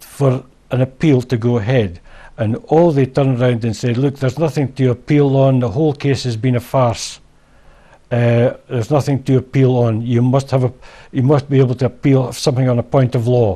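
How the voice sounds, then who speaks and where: A man with a Scottish accent, medium pitch and a dark, mellow tone, somewhat breathy, at a fairly quick pace with fairly even intonation. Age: old. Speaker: former garage owner. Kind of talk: interview answer.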